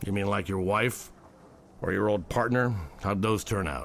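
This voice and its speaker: A man's raspy, fairly low put-on character voice with a weary tone, at a moderate pace over clear background noise. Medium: audio drama. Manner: dry, world-weary.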